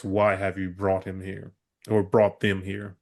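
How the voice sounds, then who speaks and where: Booming in a put-on character voice, a man with a fairly low pitch talks at a fairly slow pace with monotone, flat intonation and big swings in loudness. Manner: imposing, commanding.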